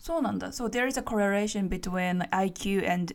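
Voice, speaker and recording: A woman with a Japanese accent talks at a fairly slow pace with fairly even intonation. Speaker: English teacher and podcast host. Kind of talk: casual bilingual chat. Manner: fillers, code-switching between Japanese and English.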